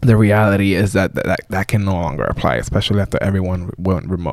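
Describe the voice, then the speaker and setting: Using a very deep, low pitch with ordinary pitch variation, a man speaks at a fairly quick pace. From Bronx, New York and Dominican Republic. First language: Spanish. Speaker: PE teacher and property owner. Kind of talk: casual interview.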